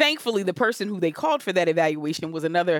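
A woman with an American accent and an unremarkable speaking voice, fairly low in pitch with lively intonation, in a dry, close sound with no echo on a very clean recording with a silent background. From Camden, New Jersey. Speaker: therapist. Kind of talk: interview, casual chat.

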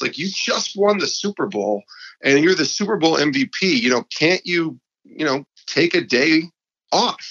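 A man's fairly high-pitched voice with vocal fry, in an upstate New York accent, at a moderate pace. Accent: upstate New York American. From upstate New York (Albany). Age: 40s. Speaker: sports podcast host and former TV producer. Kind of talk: interview conversation.

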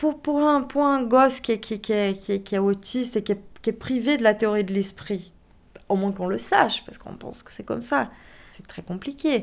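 On a very clean recording with a silent background, a woman with a fairly high voice speaks at a fairly slow pace, using lively intonation and big swings in loudness. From Brazil. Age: 30s. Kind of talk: testimony. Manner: halting, with many repetitions.

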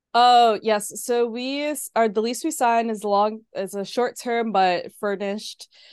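A woman with an American accent and a fairly high pitch talks at a fairly slow pace with hardly any pauses and ordinary pitch variation, over a quiet background. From New York City, Harlem. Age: 30s. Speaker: floral designer and artist. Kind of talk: casual interview chat.

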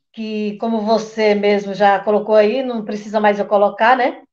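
A woman talks at a moderate pace. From Brazil, Piauí (Oeiras). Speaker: waste picker, recycling cooperative worker. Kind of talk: interview conversation.

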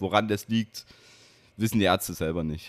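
A normal speaking voice goes at a moderate pace on a very clean recording with a silent background. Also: man. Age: 20s. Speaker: wheelchair basketball player and student. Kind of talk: interview conversation. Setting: gaming bar.

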